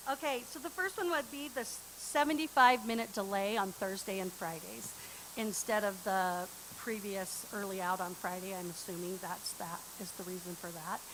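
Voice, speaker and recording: Lively intonation marks this woman's speech. She has a medium pitch and keeps a moderate pace. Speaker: parent advisor giving public comment. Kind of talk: public comment at school board meeting. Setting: board meeting room with microphone, streamed online. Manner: loud.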